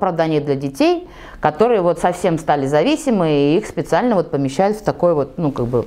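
Her pitch fairly low, a woman speaks at a moderate pace with very wide pitch swings. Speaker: interviewee. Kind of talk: interview answer. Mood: lively, laughing at times. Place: studio. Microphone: lapel.

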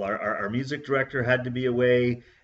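At a very fast pace, a man delivers his words. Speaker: church minister. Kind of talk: casual summary of a church service. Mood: warm, reflective, joyful. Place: home room. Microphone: webcam.

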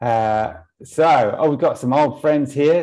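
A man talks in a dark, mellow tone. The background is quiet. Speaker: online event host. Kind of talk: event hosting introduction. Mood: warm, upbeat. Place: home room. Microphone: earbuds.

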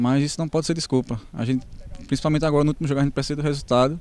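Dry with no echo, a man's voice runs at a very fast pace with fairly even intonation. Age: 20s. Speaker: footballer. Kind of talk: post-match interview. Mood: calm, slightly disappointed. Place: stadium. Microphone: handheld.

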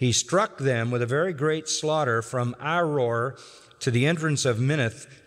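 Plain reading aloud, with ordinary rises and falls in pitch.

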